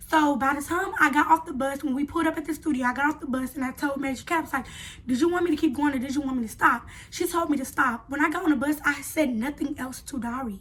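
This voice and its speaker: A woman talks at a very fast pace in a high voice with ordinary pitch variation. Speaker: YouTuber, reality show contestant. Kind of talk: casual vlog storytelling. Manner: halting at times.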